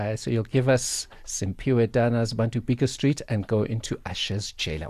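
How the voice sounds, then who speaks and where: Over a quiet background, a man speaks at a moderate pace with medium pitch, a dark, mellow tone, a somewhat breathy quality and ordinary pitch variation. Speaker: radio co-host. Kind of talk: radio interview.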